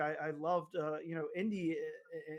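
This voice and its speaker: The man's voice sits at a fairly high pitch. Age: 40s. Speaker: comic book podcast host. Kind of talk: casual interview chat. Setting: remote video call recording. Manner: halting, many repetitions.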